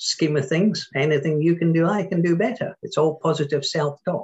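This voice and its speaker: Somewhat breathy, a man speaks at a moderate pace. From Scotland. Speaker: entrepreneur and workshop speaker. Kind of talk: podcast interview.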